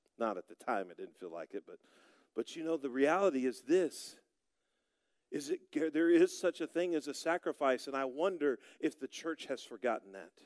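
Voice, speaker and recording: A man with an American accent speaks at a moderate pace in an ordinary speaking voice, fairly high in pitch, with lively intonation and big swings in loudness. The sound is dry and close, with no echo. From Oklahoma, US (Broken Arrow). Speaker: pastor. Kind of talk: sermon.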